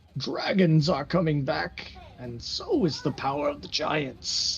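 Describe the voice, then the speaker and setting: A middle pitch carries this put-on character voice. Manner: ominous, prophetic.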